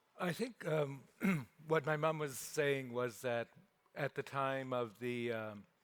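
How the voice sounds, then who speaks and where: A man with a Canadian accent talks at a very slow pace, his medium pitch showing ordinary variation. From Saskatchewan, Canada. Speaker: author. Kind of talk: panel discussion. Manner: halting.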